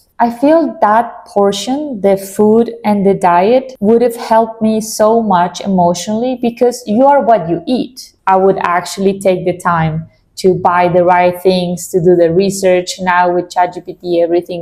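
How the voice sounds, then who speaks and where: A woman with a non-native accent, a dark, mellow tone, medium pitch, ordinary pitch variation, and a fairly slow pace. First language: Spanish. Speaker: vlogger. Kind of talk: casual chat.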